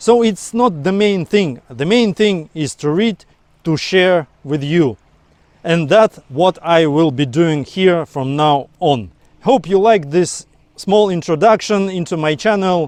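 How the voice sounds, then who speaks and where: Speaking very slowly with a non-native accent, a man uses a high pitch and lively intonation in a dry, close sound with no echo. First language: not English. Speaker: book vlogger. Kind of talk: casual monologue to camera. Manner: some halting repetitions.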